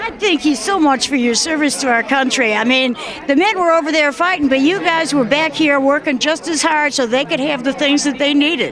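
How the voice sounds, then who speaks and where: A woman with an American accent talks at a fairly quick pace in a high pitch, with ordinary pitch variation and hardly any pauses. Her loudness stays very even, and there is noticeable background noise. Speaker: interviewer. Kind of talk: interview. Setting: airport hangar event.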